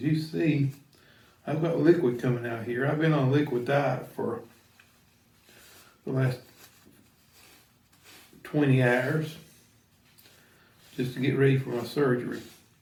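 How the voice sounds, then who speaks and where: The speech moves at a fairly slow pace with long, frequent pauses and fairly even intonation over noticeable background noise. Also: man, medium pitch for a man. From rural countryside. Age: 60s. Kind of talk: casual how-to talk to camera.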